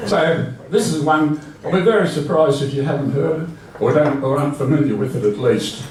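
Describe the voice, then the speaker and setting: Amid clearly audible background noise, a fairly high-voiced man talks at a fairly brisk speed. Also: ordinary pitch variation. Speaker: bush poetry performer. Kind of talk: humorous talk to a live audience.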